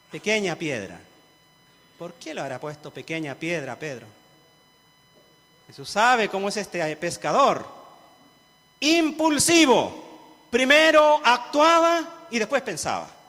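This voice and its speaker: With a raised, projected voice pitched high, a man speaks at a very slow pace, his loudness swinging widely, his pitch ranging very wide, and long pauses coming often. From rural central-southern Chile (Cauquenes area). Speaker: pastor. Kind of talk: sermon.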